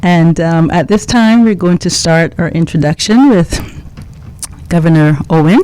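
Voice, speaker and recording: A woman speaks with a fairly low pitch. Noticeable background noise runs under her voice. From Cayman Islands, George Town. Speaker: radio talk show host. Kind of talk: radio interview.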